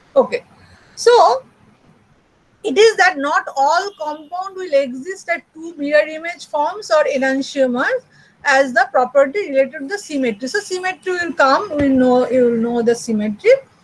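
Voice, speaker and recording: A woman's high-pitched voice with lively intonation and big swings in loudness, at a moderate pace. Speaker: university chemistry lecturer. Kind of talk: lecture. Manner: hesitant, many fillers.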